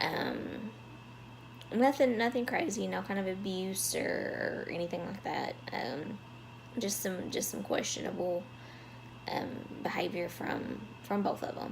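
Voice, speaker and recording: Amid audible room echo and noticeable background noise, a woman speaks fairly slowly with long, frequent pauses. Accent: Southern US. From US South. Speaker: vlogger. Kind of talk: personal storytelling vlog. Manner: halting, many fillers.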